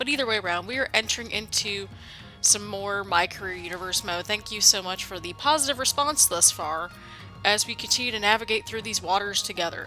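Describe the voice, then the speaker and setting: Music plays in the background as a woman talks at a fairly quick pace. Her pitch is medium, with ordinary variation. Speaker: gaming YouTuber. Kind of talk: casual talk to camera, video game let's play intro.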